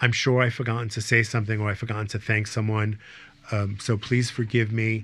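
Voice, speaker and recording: This is a man speaking. His pitch is medium. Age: 60s. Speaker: podcast host, aesthetics practitioner. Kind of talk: podcast wrap-up. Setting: studio. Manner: hesitant, many fillers.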